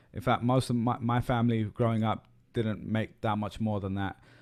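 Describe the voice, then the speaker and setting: In a British accent, a man speaks at a medium pitch and moderate pace with fairly even intonation. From UK. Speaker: podcast host. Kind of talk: podcast interview.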